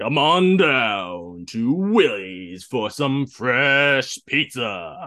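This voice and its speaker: A man's put-on character voice at medium pitch, with very wide pitch swings and a very slow pace. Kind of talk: radio-ad style announcement. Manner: upbeat, promotional.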